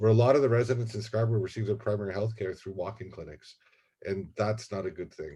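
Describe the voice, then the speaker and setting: At a very fast pace, a man speaks in a fairly low, somewhat breathy voice with a dark, mellow tone, ordinary pitch variation, and big swings in loudness. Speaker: university administrator. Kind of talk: presentation.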